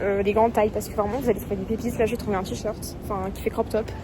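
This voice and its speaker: Monotone, flat intonation with noticeable background noise. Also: woman. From Toulouse, France. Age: 20s. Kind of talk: casual vlog talk.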